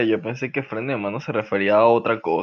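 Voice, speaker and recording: This man's medium-pitched voice, with ordinary pitch variation, moves along at a fairly quick pace. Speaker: podcast host. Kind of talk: casual chat. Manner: animated.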